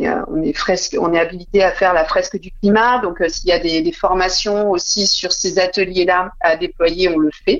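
A woman at a medium pitch, with ordinary pitch variation and a moderate pace, over noticeable background noise. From Burgundy, France (Dijon). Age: 30s. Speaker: entrepreneur, communication agency founder. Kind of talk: interview.

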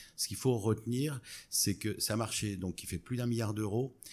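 A man speaks at a moderate pace in an unremarkable speaking voice with ordinary pitch variation. The recording is very clean, with a silent background. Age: 50s. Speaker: startup co-founder. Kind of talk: interview. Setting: in person at company office.

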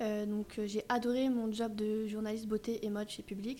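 With noticeable background noise behind her, a woman speaks fairly slowly in a flat, monotone way. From Paris suburbs, Yvelines. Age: 30s. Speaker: vintage dealer. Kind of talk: casual interview. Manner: hesitant, many fillers.

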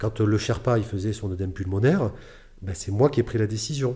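A man with a fairly low, dark, mellow voice speaks at a moderate pace, somewhat breathy, with ordinary pitch variation. The recording is very clean, with a silent background. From France, Bordeaux. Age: 40s. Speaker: adventurer and mountaineer. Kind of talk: interview storytelling.

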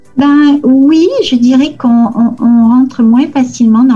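Music plays in the background as a woman speaks at a fairly high pitch and a very slow pace. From southern France, near Toulouse. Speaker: lawyer. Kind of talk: interview.

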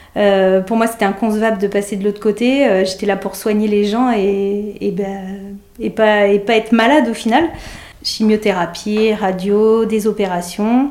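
Fairly even, fairly slow speech from a woman at medium pitch, with noticeable background noise. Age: 30s. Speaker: nurse. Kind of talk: testimony. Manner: halting, many hesitations.

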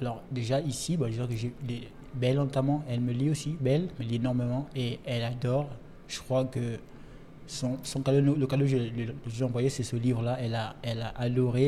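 A man speaks in a somewhat breathy voice with a dark, mellow tone. His intonation stays fairly even. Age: young. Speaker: writer. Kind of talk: casual chat. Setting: restaurant.

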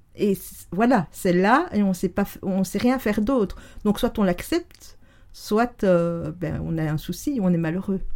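A woman at a medium pitch talks at a fairly slow pace with ordinary pitch variation. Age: 50s. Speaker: neuroscience and NLP coach. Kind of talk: casual interview conversation. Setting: in the host's home, sitting on a sofa in the same room.

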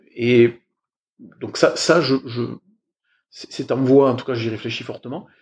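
Speaking at a very slow pace with long, frequent pauses, a man with a medium pitch keeps fairly even intonation while his loudness swings widely. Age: 40s. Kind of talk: interview. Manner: hesitant, many fillers.

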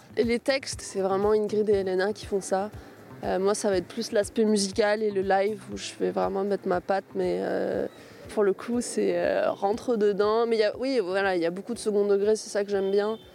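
At a moderate pace, a woman speaks at a medium pitch in a monotone, flat way, with noticeable background noise behind her. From southern France, Var. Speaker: musician, guitarist. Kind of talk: interview.

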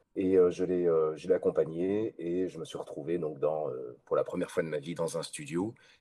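A man speaks at a fairly slow pace. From Belgium. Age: 30s. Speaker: voice actor. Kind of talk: interview. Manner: halting, many repeated words.

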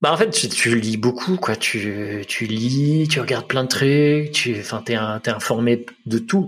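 Somewhat breathy, a man speaks at a very slow pace with hardly any pauses and a medium pitch. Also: ordinary pitch variation. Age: 30s. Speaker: web designer and father. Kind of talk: podcast interview. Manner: halting.

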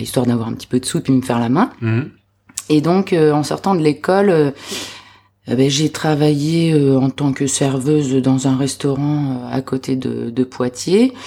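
Dark and mellow in tone, a woman speaks at a fairly slow pace in a very deep, low pitch. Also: ordinary pitch variation. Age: 30s. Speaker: aspiring restaurant owner. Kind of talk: interview testimony. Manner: hesitant, many fillers.

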